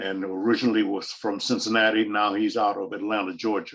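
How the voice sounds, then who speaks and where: This man's voice is fairly low. He speaks at a moderate speed. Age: 80s+. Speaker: retired psychologist. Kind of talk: oral history talk. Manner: halting, repeats words.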